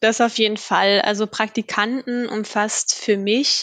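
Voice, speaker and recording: A woman's fairly high voice stays monotone and flat, with a dry, close sound with no echo. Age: 20s. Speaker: HR staff for interns. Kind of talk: podcast interview.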